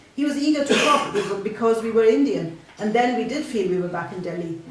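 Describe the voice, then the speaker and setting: Noticeable background noise runs through the clip. A woman talks fairly quickly over it. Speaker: fiction writer reading her own story. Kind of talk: short story reading at a live spoken word event. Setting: live event in a bookshop.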